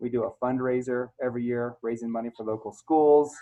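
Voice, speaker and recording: A man's plain, everyday voice at a medium pitch, with ordinary pitch variation and a fairly quick pace. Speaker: music school owner. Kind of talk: screen-share tour.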